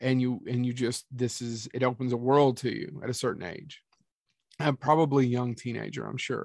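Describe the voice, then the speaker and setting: A man's medium-pitched voice proceeds at a moderate pace. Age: 40s. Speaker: podcast host. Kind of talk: casual chat. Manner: animated.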